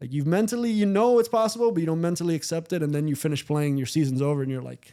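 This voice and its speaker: A dark, mellow tone with lively intonation at a very fast pace. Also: man, fairly high pitch for a man. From Miami, Cuban-American family. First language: Spanish. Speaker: former baseball executive and scout. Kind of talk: podcast interview. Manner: casual, with frequent fillers and restarts.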